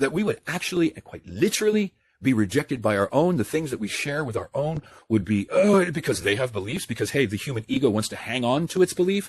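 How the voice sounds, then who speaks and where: A man's fairly high, somewhat breathy voice, very fast and animated, with very wide pitch swings. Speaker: online commentator on spiritual awakening. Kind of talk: monologue rant.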